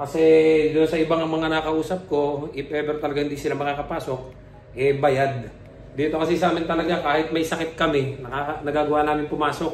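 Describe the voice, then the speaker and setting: Speaking at a fairly quick pace, a man holds a fairly high pitch with monotone, flat intonation. Audible room echo and noticeable background noise are present. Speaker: vlogger, dairy farm worker. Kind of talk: casual vlog talk.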